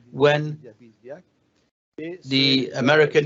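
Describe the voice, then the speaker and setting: A man with a French accent and a fairly high pitch. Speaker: conference panel moderator. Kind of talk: panel discussion moderation. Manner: halting.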